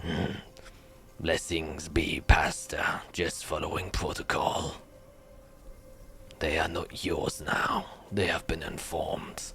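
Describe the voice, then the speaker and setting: A man performs a raspy, put-on character voice at a fairly slow pace. Long, frequent pauses break it up, and music plays in the background. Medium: actual play. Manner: curt, formal.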